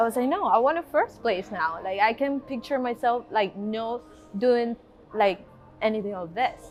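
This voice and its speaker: With music in the background, a woman speaks in a Venezuelan accent. Her pitch is fairly high and her intonation lively. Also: moderate pace. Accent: Venezuelan Spanish accent, noticeable. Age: 20s. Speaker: bodybuilding competitor. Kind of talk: interview testimony. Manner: halting, many fillers.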